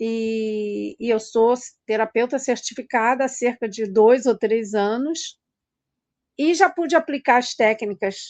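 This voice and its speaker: A woman speaks with a high voice. Her pace is very slow. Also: dry, close sound with no echo. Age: 60s. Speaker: weight-loss therapist. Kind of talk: online class talk. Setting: Instagram live. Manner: conversational, hesitant.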